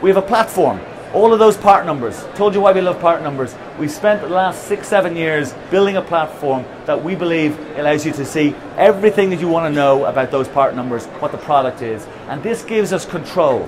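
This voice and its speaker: Noticeable background noise and audible room echo surround a man's high voice. He goes at a fairly quick pace with ordinary pitch variation. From Ireland. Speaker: company founder and CEO. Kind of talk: conference presentation. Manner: halting with repetitions.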